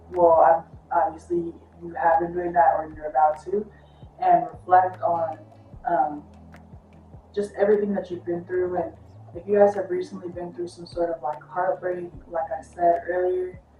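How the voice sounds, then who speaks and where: With music in the background, a woman with a fairly low pitch speaks at a moderate pace. Her loudness swings widely, and she leaves long, frequent pauses. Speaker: tarot reader. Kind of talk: tarot reading monologue. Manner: casual, animated.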